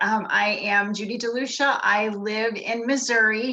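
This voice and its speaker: A woman talks in a flat monotone while the room echoes audibly and background noise stays noticeable. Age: 60s. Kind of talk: testimony.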